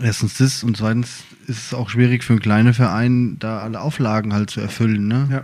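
In a flat monotone, a man speaks at a fairly quick pace. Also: medium pitch for a man. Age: 30s. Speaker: podcast co-host, firefighter. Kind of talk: casual chat.

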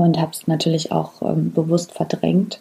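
Somewhat breathy, a woman speaks with a fairly low pitch. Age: 30s. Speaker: podcast host. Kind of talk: personal storytelling monologue. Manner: hesitant with frequent fillers.

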